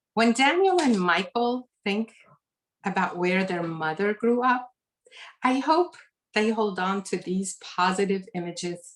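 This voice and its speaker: At a fairly slow pace, a woman with a Lebanese accent speaks in a medium pitch. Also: ordinary pitch variation. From Lebanon. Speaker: author. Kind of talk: reading aloud; author talk. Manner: formal.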